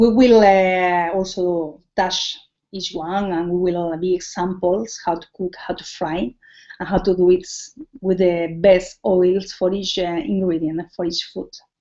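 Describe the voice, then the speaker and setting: The speaker has a Spanish accent and fairly even intonation at a fairly slow pace. Loudness rises and falls in big swings. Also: woman, medium pitch for a woman. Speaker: cooking teacher. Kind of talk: tutorial. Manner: halting.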